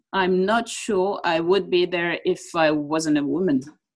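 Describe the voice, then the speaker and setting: A woman with a French accent speaks with ordinary pitch variation. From France. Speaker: football TV presenter. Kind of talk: interview.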